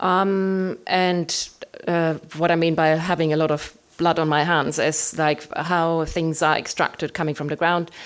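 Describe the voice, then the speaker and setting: A woman with a German accent, flat monotone intonation and a fairly slow pace. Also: fairly low pitch for a woman. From Germany. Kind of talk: artist talk presentation. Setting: room with live audience. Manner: hesitant, many fillers.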